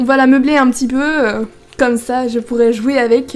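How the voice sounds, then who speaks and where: Noticeable background noise accompanies a woman speaking at a fairly quick pace. Her high pitch stays monotone and flat. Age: young. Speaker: gaming YouTuber. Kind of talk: casual gameplay commentary.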